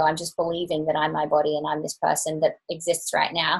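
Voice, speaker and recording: Her voice has a somewhat breathy quality. It is a woman talking. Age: 30s. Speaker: Ayurveda practitioner and teacher. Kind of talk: interview.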